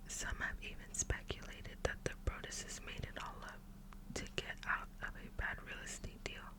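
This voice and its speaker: Noticeable background noise sits under a voice that whispers. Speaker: ASMR creator. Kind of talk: true crime story reading. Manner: whispered.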